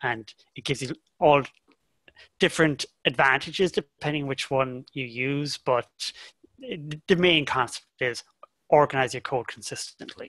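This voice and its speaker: A man with a slight Irish accent speaks at a fairly slow pace, leaving long, frequent pauses. His tone is bright and sharp, and the sound is dry and close with no echo. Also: ordinary pitch variation. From Ireland, County Cork. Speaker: software developer. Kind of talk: interview podcast.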